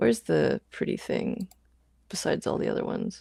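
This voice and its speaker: A woman mumbles at a fairly slow pace, the sound dry and close with no echo. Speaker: maker livestreamer. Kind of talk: casual livestream chat. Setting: live stream. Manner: mumbling; animated.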